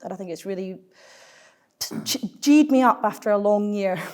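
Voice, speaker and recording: At a very fast pace, a woman with a Glaswegian accent speaks with ordinary pitch variation. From Scotland, Glasgow. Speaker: climate policy think tank finance lead. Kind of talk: panel discussion.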